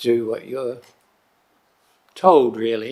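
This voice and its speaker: A man with a New Zealand accent, at a very slow pace. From New Zealand, Tararua district. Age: 60s. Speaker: member of the public making a submission. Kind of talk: public submission at council hearing. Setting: council chamber.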